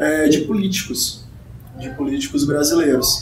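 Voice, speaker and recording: A man speaks with audible echo in the room. Noticeable background noise runs behind him. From Brazil, Maranhão. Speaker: machine learning consultant and researcher. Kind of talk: podcast interview. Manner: hesitant, many fillers.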